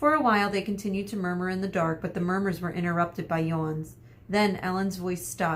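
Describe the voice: The intonation holds fairly even. What you hear is plain reading aloud.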